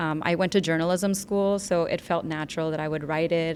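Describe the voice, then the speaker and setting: A woman with an American accent speaks at a fairly quick pace in a normal speaking voice. Her pitch is fairly low and varies in an ordinary way. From US Northeast, New Jersey/New York. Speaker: documentary filmmaker. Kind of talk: podcast interview.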